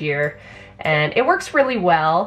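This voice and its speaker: Faint music plays behind a woman whose voice sits very deep and low. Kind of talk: casual vlog chat. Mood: thoughtful, explanatory. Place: office. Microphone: camera far.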